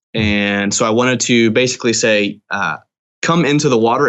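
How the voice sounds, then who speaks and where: The man talks at a medium pitch and a moderate pace, keeping his loudness very even. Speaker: theology professor and author. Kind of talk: casual interview chat about a book. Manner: thoughtful, hesitant with filler words.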